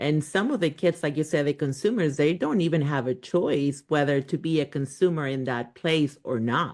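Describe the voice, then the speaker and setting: With a Spanish accent, a woman talks at a moderate pace in a very deep, low voice, barely stopping to pause. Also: ordinary pitch variation. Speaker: podcast host, unschooling parent. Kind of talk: podcast interview.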